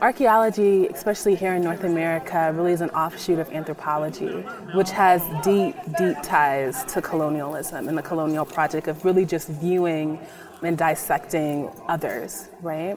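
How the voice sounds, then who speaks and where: Against noticeable background noise, a woman speaks at a fairly low pitch and moderate pace with ordinary pitch variation. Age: 20s. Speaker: archaeologist. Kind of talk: interview conversation.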